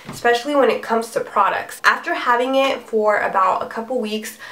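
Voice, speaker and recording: Over noticeable background noise, a woman with a high pitch speaks at a moderate pace. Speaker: beauty vlogger. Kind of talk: product review. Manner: casual, chatty.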